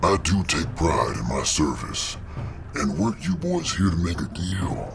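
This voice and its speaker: Speaking at a moderate pace over clear background noise, a man does a put-on character voice with a very deep, low pitch. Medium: read story. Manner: smooth, salesman-like.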